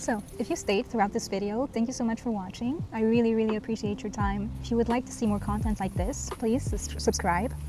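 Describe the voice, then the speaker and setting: A woman speaks fairly quickly, barely pausing, while noticeable background noise carries on behind her. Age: 30s. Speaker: vlogger. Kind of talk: casual vlog talk to camera. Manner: conversational with filler words.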